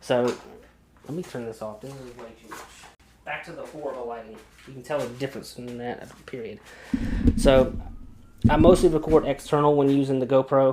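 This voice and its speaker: A man of medium pitch at a fairly quick pace, with long, frequent pauses, ordinary pitch variation, big swings in loudness, and noticeable background noise. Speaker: video creator, photographer. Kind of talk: tutorial. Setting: home studio. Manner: soft-spoken; casual, uses lots of fillers.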